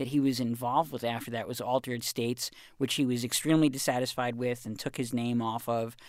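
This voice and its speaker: A plain, everyday voice from a man at medium pitch, fairly quick, with fairly even intonation, in a very clean recording with a silent background. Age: 30s. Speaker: culture reporter and author. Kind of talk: casual interview.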